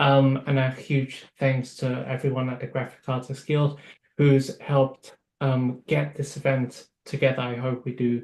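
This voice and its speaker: A man speaks fairly slowly at a medium pitch, somewhat breathy. His intonation is monotone and flat. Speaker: network organizer, panelist. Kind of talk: panel discussion. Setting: video call.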